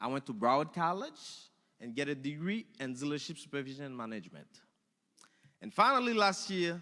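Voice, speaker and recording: A man's fairly high, bright, sharp voice in a strong Haitian accent, fairly quick yet broken by long, frequent pauses, with very wide pitch swings and big swings in loudness. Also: very clean recording, silent background. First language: Haitian Creole or French. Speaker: alumni speaker, automotive technician and teacher. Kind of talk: speech.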